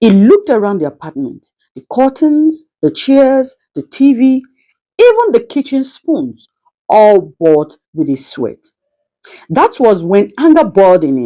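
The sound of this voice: A woman speaks at a fairly slow pace in a dark, mellow tone, her pitch swinging very widely. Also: medium pitch for a woman.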